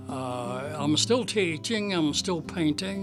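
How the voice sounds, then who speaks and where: Over music in the background, a man with a fairly high pitch speaks at a very slow pace with very wide pitch swings. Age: 80s+. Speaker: watercolor painter and art teacher. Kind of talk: interview answer.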